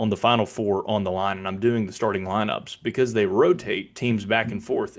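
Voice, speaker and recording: Against a quiet background, a man in an ordinary speaking voice talks at a fairly quick pace, with a fairly low pitch and ordinary pitch variation. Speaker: public address announcer. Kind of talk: casual explanation to camera.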